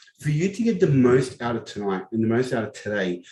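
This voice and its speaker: Speaking at a fairly quick pace with lively intonation, a man with a medium-pitched voice has a dark, mellow tone. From Lebanon, then Southwest Sydney from age ten. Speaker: crypto educator, summit speaker. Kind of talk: online workshop presentation.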